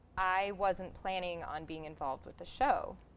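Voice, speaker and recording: Speaking at a very slow pace, a woman has a medium-pitched voice with ordinary pitch variation. There is audible echo in the room. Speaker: community theatre actor. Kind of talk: interview. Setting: theatre.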